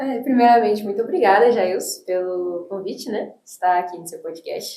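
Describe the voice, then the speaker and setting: A woman speaks at a fairly high pitch with ordinary pitch variation. Her loudness swings widely. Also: moderate pace. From Brazil (came from the US at age six). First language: English (speaking Portuguese). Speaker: teacher and church youth leader. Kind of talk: podcast interview.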